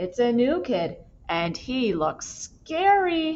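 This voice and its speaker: A woman puts on a character voice, high in pitch. She speaks at a very slow pace with very wide pitch swings. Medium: read story.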